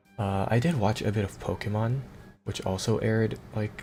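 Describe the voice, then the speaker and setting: With music in the background, the voice keeps a fairly even intonation. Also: man. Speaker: streamer. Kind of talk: casual chat. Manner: halting.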